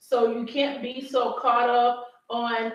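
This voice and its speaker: A woman talks loudly, and room echo can be heard. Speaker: talk show co-host. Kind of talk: live show discussion. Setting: live stream.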